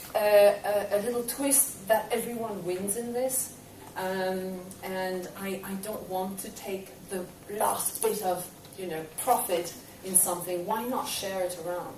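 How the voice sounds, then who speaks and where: A woman with a slight Belgian accent talks at a fairly slow pace with fairly even intonation. Noticeable background noise and audible room echo surround her voice. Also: medium pitch for a woman. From Belgium. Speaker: property investor. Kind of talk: talk to an audience. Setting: stage with audience. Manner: halting.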